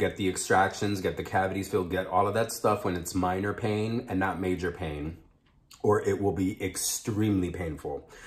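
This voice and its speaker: A man speaks at a moderate pace in a very deep, low voice. His delivery is somewhat breathy. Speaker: mukbang vlogger. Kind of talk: casual vlog chat. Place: home room. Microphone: phone near.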